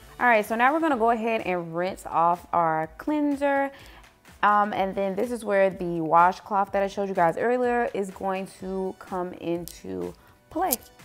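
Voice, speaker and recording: Faint music plays in the background as a woman speaks at a fairly slow pace. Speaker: beauty vlogger. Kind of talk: skincare tutorial. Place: bathroom. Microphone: phone near.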